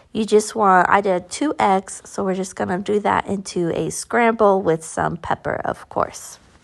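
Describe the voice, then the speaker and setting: A woman speaks with an American accent at a medium pitch with ordinary pitch variation. Her fairly slow delivery has vocal fry and hardly any pauses. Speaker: cooking vlogger. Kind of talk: cooking tutorial. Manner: casual, conversational.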